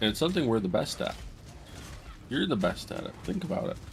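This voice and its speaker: A soft-spoken man talks with very wide pitch swings. Music plays in the background and room echo is audible. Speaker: gaming streamer. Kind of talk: gameplay commentary. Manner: halting.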